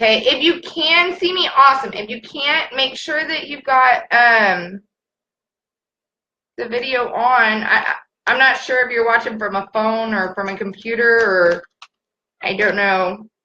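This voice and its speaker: A woman with an American accent speaks loudly and fairly slowly, her fairly high voice bright and sharp in tone. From California. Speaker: craft tumbler maker. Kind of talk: live-stream tutorial. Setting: live stream. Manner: casual, chatty with filler words.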